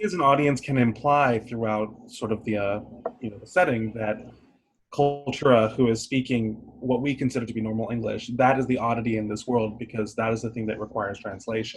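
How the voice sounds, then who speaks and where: Speaking at a fairly quick pace, a man with a medium pitch and somewhat breathy voice keeps a fairly even intonation while his loudness swings widely. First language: not English (English is third language). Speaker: playwriting workshop participant. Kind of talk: casual discussion of a play reading.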